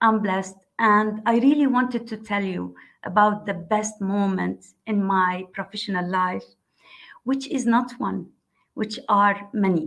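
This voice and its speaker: She is a woman with an ordinary speaking voice, medium pitch and ordinary pitch variation. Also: fairly slow pace. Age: 60s. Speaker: civil engineer. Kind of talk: panel discussion.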